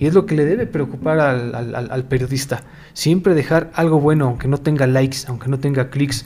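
Against noticeable background noise, a man speaks with fairly high pitch and fairly even intonation. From Mexico. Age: 40s. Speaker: podcast host, journalist and editor. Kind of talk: casual solo monologue.

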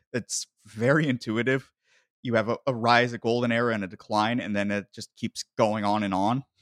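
A man with an American accent uses a normal speaking voice at medium pitch and moderate pace. The sound is dry and close with no echo, in a very clean recording with a silent background. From United States. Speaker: podcast host. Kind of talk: casual chat.

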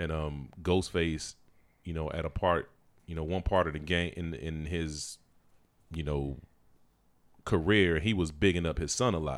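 A man speaks fairly slowly in a very deep, low pitch, his intonation fairly even. Long pauses come often. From US South. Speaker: podcast guest, hip-hop fan. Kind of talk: casual chat.

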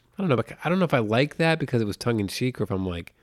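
A man's animated, very fast delivery with very wide pitch swings, in a very clean recording with a silent background. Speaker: podcast host. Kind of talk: casual chat, storytelling and movie discussion. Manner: fast talker; animated, jokey.

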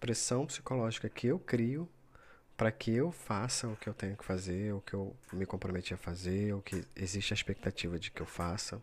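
On a very clean recording with a silent background, a man with a fairly low pitch talks at a moderate pace with ordinary pitch variation. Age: 30s. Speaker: podcaster. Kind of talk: solo reflective monologue. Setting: recording at midnight. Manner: hesitant, many fillers.

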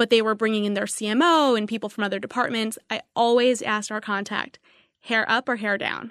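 An ordinary speaking voice, a woman with an American accent talks at a fairly quick pace with fairly even intonation and a fairly high pitch, the sound dry and close with no echo against a quiet background. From New York City area. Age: 20s. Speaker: marketing executive. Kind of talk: interview. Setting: studio.

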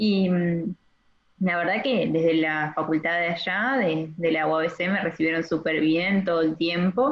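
In an Argentine accent, a woman speaks at a fairly slow pace with a fairly low pitch and ordinary pitch variation. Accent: Rioplatense Argentine Spanish. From Argentina, Entre Ríos. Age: 20s. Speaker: medical student. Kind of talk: casual interview. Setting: phone call.

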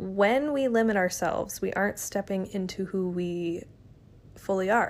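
Speaking in a plain, everyday voice, a woman keeps a medium pitch with ordinary pitch variation at a moderate pace. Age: 20s. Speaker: podcast host. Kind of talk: solo monologue podcast.

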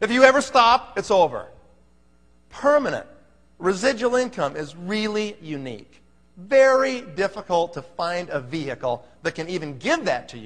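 Against a quiet background, a man with an American accent speaks at a high pitch with very wide pitch swings. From Phoenix, Arizona, US Southwest. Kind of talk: sales pitch. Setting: stage with audience. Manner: high-energy, punchy, repeating "okay?" to drive points home; commanding, motivational and direct, barking orders at the room.

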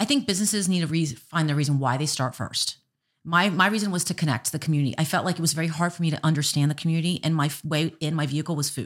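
In a very clean recording with a silent background, a woman with an American accent talks very fast at a very deep, low pitch, with ordinary pitch variation. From Miami, Florida. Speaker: restaurant owner and business coach. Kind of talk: casual interview.

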